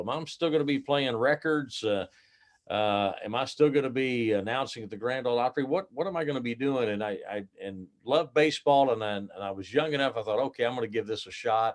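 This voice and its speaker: The speaker has an American accent and talks at a very fast pace. Pitch moves in an ordinary way. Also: man. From southern Illinois (Marion). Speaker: baseball stadium announcer. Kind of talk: interview. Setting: video call. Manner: halting, many fillers.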